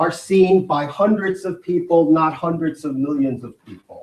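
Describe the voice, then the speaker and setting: Speaking at a fairly slow pace, a man with an American accent has a high pitch and ordinary pitch variation. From New York, the Bronx. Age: 60s. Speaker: video artist and media producer. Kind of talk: conference talk. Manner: hesitant, many fillers.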